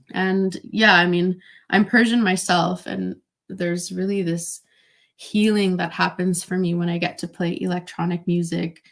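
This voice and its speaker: An unremarkable speaking voice from a woman with a Canadian accent, medium pitch, fairly even intonation and a moderate pace, on a very clean recording with a silent background. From Canada, Greater Toronto Area. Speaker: DJ. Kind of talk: interview. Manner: casual, with fillers.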